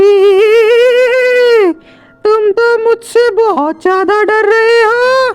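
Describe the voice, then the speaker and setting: A woman does a put-on character voice, cackling at an extremely high pitch. She speaks at a very slow pace over faint background music. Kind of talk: spoken Hindi, storytelling. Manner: cackling, teasing, mocking.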